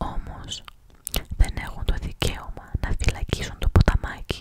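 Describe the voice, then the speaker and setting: Over noticeable background noise, a woman speaks in a whisper. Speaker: ASMR creator. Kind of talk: whispered reading of a Greek short story. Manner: whispered, close-up.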